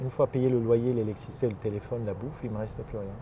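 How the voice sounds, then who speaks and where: A man is speaking. He has an Armenian accent. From Lebanon (Armenian family, Beirut). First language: Armenian (speaking French). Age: 50s. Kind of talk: interview. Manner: hesitant, many fillers.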